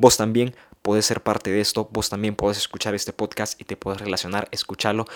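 A man's fairly low voice comes through at a fairly quick pace. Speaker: podcast host and youth preacher. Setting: podcast studio. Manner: animated, excitable, conversational; direct address to audience, playful and emphatic.

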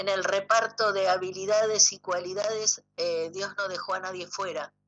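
This woman's voice has a bright, sharp tone. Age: 60s. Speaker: biodecoding therapist. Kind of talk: radio interview. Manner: hesitant, many fillers.

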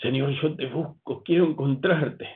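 Here a man is speaking. His pace is moderate. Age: 60s. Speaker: pastor. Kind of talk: sermon.

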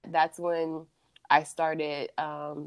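A very deep, low-pitched woman's voice with an American accent. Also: dry, close sound with no echo. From US Midwest (Columbus, Ohio). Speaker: artist. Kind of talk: casual interview.

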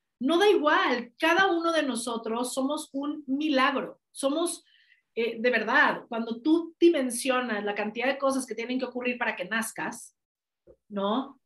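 A woman with a Mexican accent speaks at a fairly slow pace, her pitch high and its variation ordinary. Her tone is energetic. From Mexico. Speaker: life coach. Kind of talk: interview.

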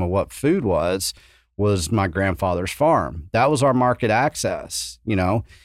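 A man with a Texan accent speaks at a moderate pace in a fairly low voice, on a very clean recording with a silent background. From West Texas. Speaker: event organizer. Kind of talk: casual chat.

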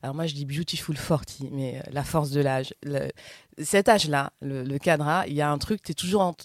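A woman's very deep, low voice, big swings in loudness, ordinary pitch variation, moderate pace, dry, close sound with no echo, very clean recording with a silent background. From southern France. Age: 40s. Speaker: podcast host. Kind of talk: casual chat.

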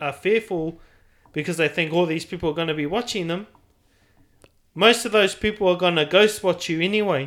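A man with a New Zealand accent, high pitch, ordinary pitch variation and a fairly quick pace. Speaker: podcast host. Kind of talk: casual chat.

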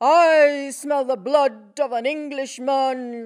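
A woman uses a put-on character voice in a very clean recording with a silent background. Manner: gruff, menacing, demanding.

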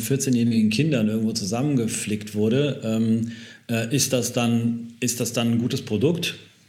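With audible room echo, a man of medium pitch speaks at a moderate pace with fairly even intonation. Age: 30s. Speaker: fashion company founder. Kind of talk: interview. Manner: halting, many fillers; relaxed.

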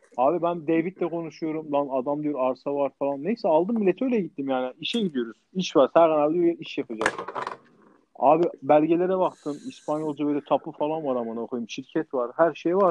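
The man's pitch is fairly high, with ordinary pitch variation. He keeps a moderate pace. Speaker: podcast co-host, restaurant owner abroad. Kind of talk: casual chat. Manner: animated; halting.

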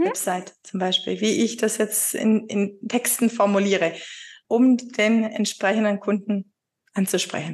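A woman talks at a fairly slow pace in a somewhat breathy voice. Her pitch is fairly high, with ordinary variation. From Upper Swabia, southern Germany. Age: 40s. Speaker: virtual assistant, former insurance clerk. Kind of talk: being coached, conversational. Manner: hesitant, many fillers.

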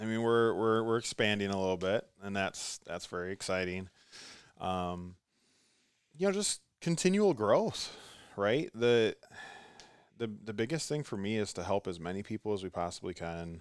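On a very clean recording with a silent background, a man with an American accent speaks at a moderate pace and a fairly low pitch, using ordinary pitch variation and long, frequent pauses. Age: 30s. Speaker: gym manager and coach. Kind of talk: casual interview. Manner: halting, many fillers and restarts.

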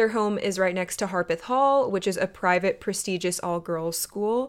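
A plain, everyday voice with ordinary pitch variation on a very clean recording with a silent background. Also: woman. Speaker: podcast host. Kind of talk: true crime storytelling.

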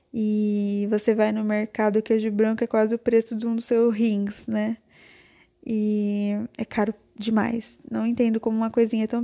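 A woman talks at a moderate pace with a fairly high pitch and a dark, mellow tone. Her intonation is monotone and flat, and the sound is dry and close with no echo. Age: 20s. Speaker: podcaster. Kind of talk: casual monologue. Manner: rambling, laughs often.

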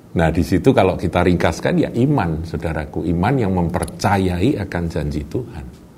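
A man with a very deep, low pitch speaks at a moderate pace with hardly any pauses and ordinary pitch variation. Noticeable background noise and audible room echo fill the recording. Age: 60s. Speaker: pastor. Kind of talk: sermon.

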